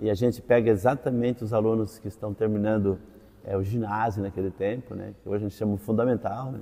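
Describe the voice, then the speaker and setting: With a dark, mellow tone, a man speaks at a fairly low pitch with fairly even intonation. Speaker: teacher, former seminarian. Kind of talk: interview testimony.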